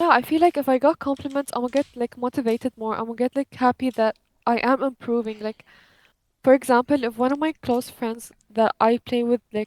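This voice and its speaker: A woman with a non-native accent speaks at a high pitch and a fairly quick pace. Her intonation stays fairly even, and the sound is dry and close, with no echo. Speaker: gamer. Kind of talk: casual chat.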